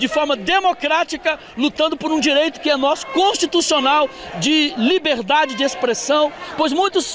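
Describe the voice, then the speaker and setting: Extremely high-pitched for a man, this voice keeps very even loudness, ordinary pitch variation and a moderate pace, with a dry sound with no echo under noticeable background noise. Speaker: protester. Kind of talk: street protest interview answer. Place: street. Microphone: handheld.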